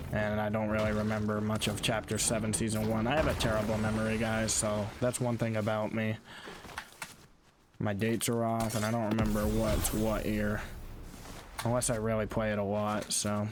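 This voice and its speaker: Delivery is monotone and flat at a moderate pace, with very even loudness. Music plays in the background, and room echo is audible. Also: man, fairly low pitch for a man. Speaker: gaming streamer. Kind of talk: gameplay commentary. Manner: stuttering at times; casual, filler-heavy.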